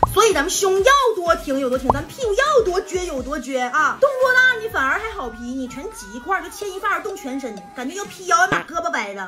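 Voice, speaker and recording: Very fast and raised to project, a woman's voice swings very widely in pitch over music in the background. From Northeast China. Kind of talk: casual tutorial talk to camera. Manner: chatty, humorous.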